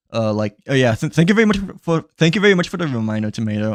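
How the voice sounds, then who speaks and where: Very fast speech with lively intonation and a dry, close sound with no echo. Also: man. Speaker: gaming streamer. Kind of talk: casual live stream chat. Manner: stuttering, many fillers.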